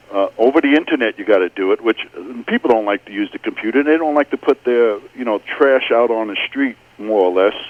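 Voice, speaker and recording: Here a man talks at a fairly quick pace. His pitch is medium, with ordinary variation. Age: 60s. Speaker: caller. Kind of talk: call-in comment. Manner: halting.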